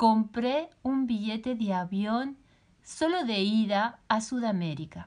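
In a Spanish accent, a woman speaks at a very slow pace, her fairly high voice marked by lively intonation. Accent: Peninsular Spanish. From Spain. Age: 50s. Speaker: podcast host, life coach. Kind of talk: personal storytelling.

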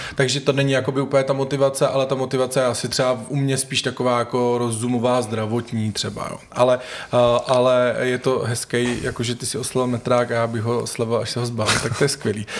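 Against noticeable background noise, a man speaks very fast at a medium pitch in a flat monotone. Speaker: podcast host. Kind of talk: casual interview conversation. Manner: stumbling, filler-heavy.

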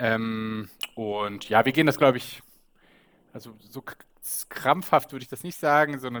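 A man with an unremarkable speaking voice talks at a moderate pace and medium pitch with ordinary pitch variation. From Bremen, northern Germany. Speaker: podcast co-host, expat father. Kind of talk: casual chat.

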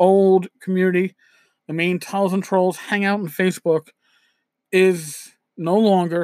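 With a New York accent, a high-pitched man speaks fairly slowly, the sound dry and close with no echo on a very clean recording with a silent background. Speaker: podcast host, tabletop RPG blogger. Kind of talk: solo podcast monologue. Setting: home recording with USB microphone. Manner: casual, conversational with filler words.

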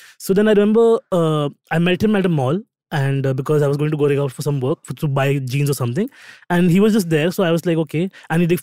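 On a very clean recording with a silent background and a dry, close sound with no echo, a man speaks very fast at a fairly high pitch in a dark, mellow tone with ordinary pitch variation. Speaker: podcast co-host. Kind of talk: casual chat.

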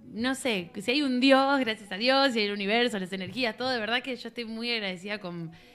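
Over music in the background, a woman with a fairly high pitch talks at a fairly quick pace. She barely pauses at all. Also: ordinary pitch variation. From Argentina, Buenos Aires northern suburbs. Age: 20s. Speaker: singer-songwriter. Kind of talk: casual chat.

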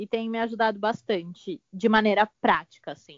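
Using an unremarkable speaking voice, a woman talks at a moderate pace with a fairly high pitch. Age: 20s. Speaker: fashion stylist assistant. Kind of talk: casual chat.

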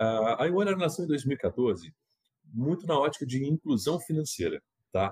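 A man talks at a fairly slow pace in a fairly high pitch, his voice somewhat breathy. The sound is dry and close with no echo, in a very clean recording with a silent background. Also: lively intonation. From Minas Gerais, Brazil. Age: 40s. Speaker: fintech revenue executive. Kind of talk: interview.

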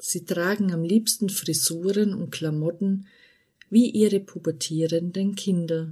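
A woman's fairly low, somewhat breathy voice with a dark, mellow tone, ordinary pitch variation and a very slow pace. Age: 40s. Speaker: podcast host. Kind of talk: scripted monologue.

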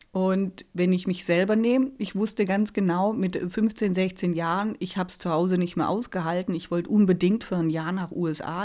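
A woman speaks at a moderate pace with medium pitch, ordinary pitch variation and a dark, mellow tone. The recording is very clean, with a silent background. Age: 40s. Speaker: resilience trainer and life coach. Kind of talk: casual chat.

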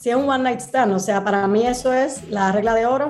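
Speaking at a fairly quick pace, a woman with a fairly high voice shows ordinary pitch variation against audible room echo. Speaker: sex educator. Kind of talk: casual chat. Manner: animated.

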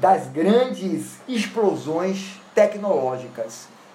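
Speech comes at a very slow pace with noticeable background noise. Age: 50s. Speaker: law lecturer. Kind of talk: lecture.

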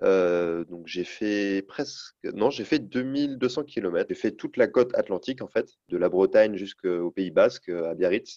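A man's dark, mellow, fairly low voice comes at a fairly slow pace in a dry, close sound with no echo. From Brittany, north Finistère. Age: 20s. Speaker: adventurer cyclist. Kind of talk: interview. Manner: hesitant with fillers.

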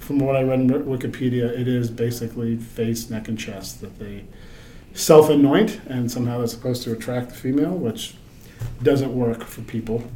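A man speaks at a fairly quick pace with fairly even intonation and big swings in loudness. Audible room echo and noticeable background noise surround him. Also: medium pitch for a man. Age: 40s. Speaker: podcast host at a metal fabrication company. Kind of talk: casual chat.

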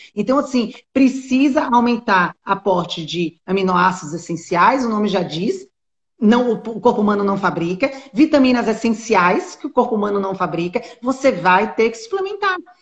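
Her pitch is fairly high and her intonation lively, and she sounds somewhat breathy. The woman keeps a moderate pace. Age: 40s. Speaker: nutritionist. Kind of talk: casual chat. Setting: live stream.

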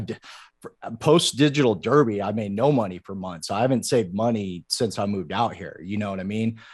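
An ordinary speaking voice at a fairly quick pace, with ordinary pitch variation and a quiet background. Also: man. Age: 30s. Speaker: content creator and Twitch streamer. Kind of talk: casual interview chat.

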